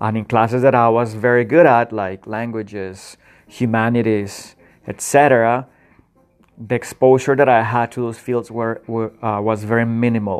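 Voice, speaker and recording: A man's medium-pitched voice with a Spanish accent, monotone and flat, at a moderate pace. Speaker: podcast host. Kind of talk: solo reflective monologue. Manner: halting, many fillers.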